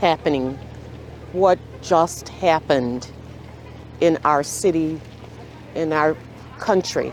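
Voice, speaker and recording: A woman speaks at a very slow pace in a fairly low pitch. Her pitch varies in an ordinary way, with noticeable background noise. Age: 70s. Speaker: psychiatrist. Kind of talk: interview.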